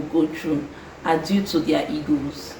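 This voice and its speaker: There is noticeable background noise and audible room echo as a woman speaks in an animated tone. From Nigeria. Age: 20s. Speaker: lifestyle vlogger. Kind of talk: advice monologue vlog. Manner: fast.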